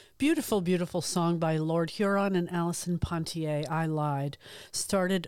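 A woman with a fairly low pitch talks at a moderate pace in a very clean recording with a silent background. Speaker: radio host. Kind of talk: relaxed community radio DJ patter, warm and chatty, introducing and back-announcing songs. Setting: radio studio broadcast. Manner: laid-back, conversational, enthusiastic about music, with fillers like um and uh; friendly, upbeat, unscripted.

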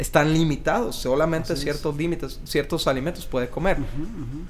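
With noticeable noise around him, a man talks very fast in a fairly high voice, his pitch varying in an ordinary way. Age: 40s. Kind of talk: radio interview. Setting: studio.

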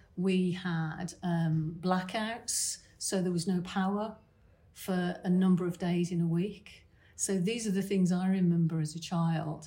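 A woman with a British accent speaks somewhat breathily at a medium pitch, with fairly even intonation and a fairly slow pace, in a room with audible echo. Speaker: financial planner. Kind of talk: interview answer at a conference.

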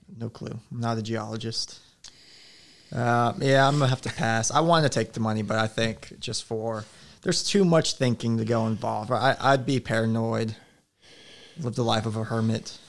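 A man with an ordinary speaking voice at medium pitch, ordinary pitch variation and a moderate pace, on a very clean recording with a silent background. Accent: American. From Alaska and Oklahoma. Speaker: youth pastor. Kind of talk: casual chat.

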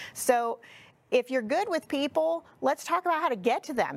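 A woman talks at a moderate pace in an unremarkable speaking voice. Her intonation is lively. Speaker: real estate coach and agency CEO. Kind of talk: casual interview chat.

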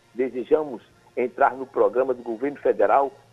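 With music in the background, a man talks at a medium pitch with ordinary pitch variation. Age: 60s. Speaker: mayoral candidate, journalist. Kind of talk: political interview. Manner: halting, many fillers.

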